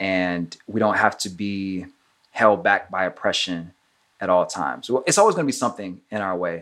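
With an unremarkable speaking voice, a man talks at a moderate pace in a fairly low pitch with ordinary pitch variation. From Trinidad, raised in US South. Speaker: actor. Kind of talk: casual interview.

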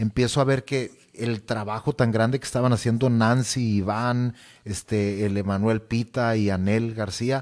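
A man speaks fairly slowly in a monotone, flat intonation at very even loudness, on a very clean recording with a silent background. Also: medium pitch for a man. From Mexico, Sonora (Nogales). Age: 30s. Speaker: singer and youth church leader. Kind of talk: casual interview.

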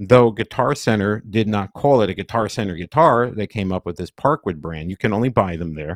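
In an ordinary speaking voice, a man with a fairly low pitch and lively intonation speaks at a moderate pace, the sound dry and close with no echo on a very clean recording with a silent background. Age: 50s. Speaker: music producer and podcast host. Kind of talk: casual chat.

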